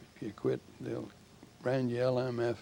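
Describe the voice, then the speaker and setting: Vocal fry runs through a man's dark, mellow tone. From Canada. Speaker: war veteran. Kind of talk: interview. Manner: halting.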